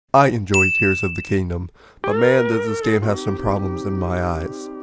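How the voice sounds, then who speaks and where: A man talks with lively intonation at a moderate pace, music playing behind him. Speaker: video game commentator. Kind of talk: video essay narration. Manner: casual, humorous.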